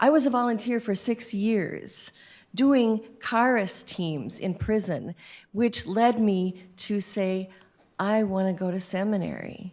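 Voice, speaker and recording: A woman's ordinary speaking voice at medium pitch, fairly slow, with ordinary pitch variation, in a very clean recording with a silent background. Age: 60s. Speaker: prison chaplain. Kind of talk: panel discussion.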